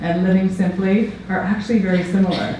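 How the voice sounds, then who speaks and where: A woman with an American accent talks in a room with audible echo and noticeable background noise. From US Mennonite community. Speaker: peacebuilding scholar and conference speaker. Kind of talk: conference talk. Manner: fast.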